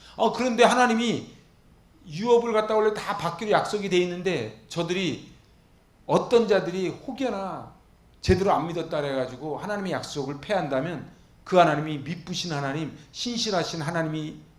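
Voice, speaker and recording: Pitched high, a man speaks in an animated tone with lively intonation and big swings in loudness, with audible room echo. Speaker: pastor. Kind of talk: Bible lecture sermon. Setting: church. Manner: fast.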